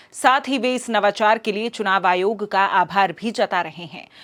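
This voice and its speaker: The recording is very clean, with a silent background. A woman talks, her pitch moving in an ordinary way. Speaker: news anchor. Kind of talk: news reading. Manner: formal.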